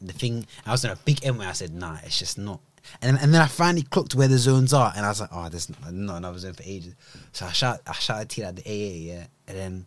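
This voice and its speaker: At a very fast pace, a man with a British accent and fairly low pitch delivers lively intonation and big swings in loudness in a very clean recording with a silent background. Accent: British urban. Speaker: podcast co-host. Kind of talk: casual banter podcast chat. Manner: relaxed, calm.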